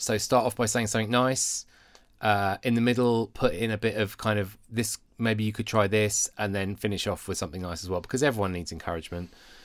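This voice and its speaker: A fairly low-pitched man with a British accent, at a fairly quick pace with fairly even intonation, on a very clean recording with a silent background. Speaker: podcast co-host and worship resource creator.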